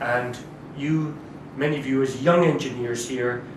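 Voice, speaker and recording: A man with a Scottish accent speaks at a moderate pace and medium pitch, his intonation fairly even. The recording carries audible room echo and noticeable background noise. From Scotland. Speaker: diplomat. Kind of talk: formal speech. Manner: formal.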